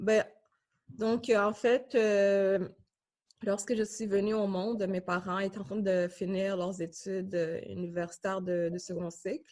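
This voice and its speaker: At a fairly slow pace, a woman speaks at a medium pitch. Her pitch variation is ordinary. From Tanzania refugee camp, then Canada from early childhood. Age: 20s. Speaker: graduate student. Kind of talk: interview testimony. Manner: halting, many fillers.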